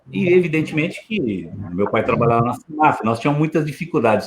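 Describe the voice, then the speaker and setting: Very fast speech from a man with a fairly high pitch and lively intonation. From Osasco, São Paulo, Brazil. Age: 60s. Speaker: lawyer and former politician. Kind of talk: casual chat.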